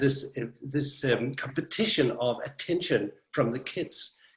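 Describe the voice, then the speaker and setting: A somewhat breathy man, fairly high in pitch, speaking at a fairly slow pace with ordinary pitch variation. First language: Danish. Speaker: storyteller. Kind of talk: interview. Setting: video call.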